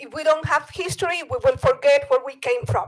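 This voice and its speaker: Speaking with a Bolivian accent, a woman uses a high pitch and lively intonation. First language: Spanish. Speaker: public commenter, parent. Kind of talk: public comment at board meeting. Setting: public board meeting.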